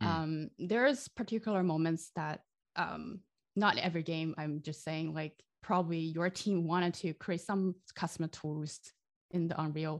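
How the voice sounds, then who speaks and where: Speaking at a moderate pace with a Chinese accent, a woman with a fairly low voice shows ordinary pitch variation against a quiet background. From China. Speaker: game sound designer. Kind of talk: interview. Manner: halting.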